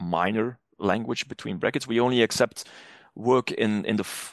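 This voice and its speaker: With a Flemish accent, a man talks at medium pitch and a moderate pace with ordinary pitch variation. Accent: Flemish Dutch accent in English. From Flanders, northern Belgium. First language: Dutch (Flemish). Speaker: academic publishing manager. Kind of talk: podcast interview. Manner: frequent hesitations and restarts.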